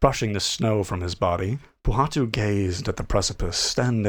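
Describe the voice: Ordinary pitch variation in plain reading aloud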